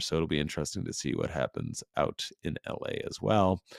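Very deep, low male voice with vocal fry and lively intonation, in a dry, close sound with no echo. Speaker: sports podcast host. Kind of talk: solo podcast monologue. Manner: hesitant, many fillers.

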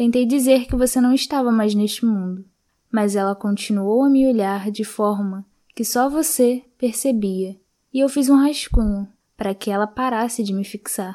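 A woman talks at a moderate pace in a fairly high, dark and mellow voice with ordinary pitch variation. The recording is very clean, with a silent background. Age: 20s. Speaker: library reader, student. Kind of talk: reading aloud.

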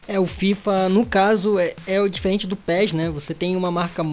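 Amid noticeable background noise, a man talks in a high voice. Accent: Brazilian. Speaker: gaming podcast co-host. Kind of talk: casual chat.

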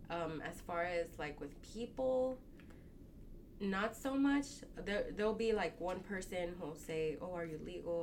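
A woman's fairly low voice with lively intonation at a fairly slow pace, over noticeable background noise. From Texas, Dallas area (born Mexico, moved at 4). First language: Spanish. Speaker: tailor. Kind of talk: casual interview.

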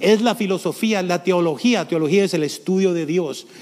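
Pitch varies in an ordinary way as the words come at a fairly brisk rate. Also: man. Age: 70s. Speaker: pastor. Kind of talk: sermon. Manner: halting.

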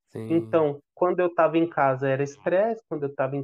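A man with a normal speaking voice and fairly high pitch talks at a moderate pace. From Brazil, São Paulo. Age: 30s. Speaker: father sharing life story. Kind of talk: podcast interview, personal testimony.

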